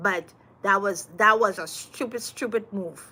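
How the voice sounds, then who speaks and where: A woman with a Trinidadian accent speaks at a fairly slow pace in a bright, sharp, animated tone. Her pitch varies in an ordinary way. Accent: sounds Trinidadian, but is Guyanese. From Guyana. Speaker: voter interviewed on the street. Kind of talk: street interview.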